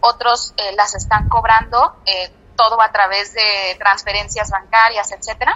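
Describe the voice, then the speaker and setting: With a Mexican accent, a woman speaks at a fairly high pitch with fairly even intonation and very even loudness. Noticeable background noise is audible. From Mexico. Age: 20s. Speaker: engineer and entrepreneur. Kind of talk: interview. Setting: phone call. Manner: hesitant, many fillers. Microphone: telephone line.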